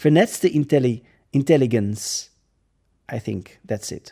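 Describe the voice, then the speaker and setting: Someone speaks very slowly with a Dutch accent. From Netherlands. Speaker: podcast host. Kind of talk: reading aloud with commentary. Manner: halting.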